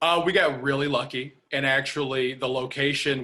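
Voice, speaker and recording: A man with an American accent speaks in a plain, everyday voice at a medium pitch, moderate pace and with fairly even intonation. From Chicago. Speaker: film director. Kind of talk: video call Q&A interview. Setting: video call.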